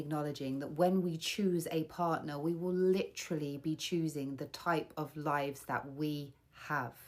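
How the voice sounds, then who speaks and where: A woman's a plain, everyday voice sits fairly low in pitch, moving at a moderate pace with fairly even intonation. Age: 40s. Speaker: single woman sharing her view. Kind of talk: personal testimony monologue.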